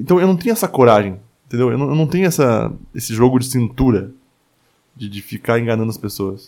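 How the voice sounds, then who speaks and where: A man with a medium pitch talks at a fairly quick pace with lively intonation. Long, frequent pauses break up his speech. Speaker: podcast host. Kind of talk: solo monologue podcast. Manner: filler-heavy with hesitations.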